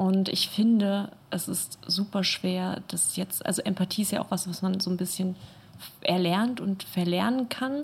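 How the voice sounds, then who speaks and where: Somewhat breathy woman's voice at medium pitch, fairly slow and fairly even in intonation. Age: 20s. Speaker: art school student. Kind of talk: casual chat. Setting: studio.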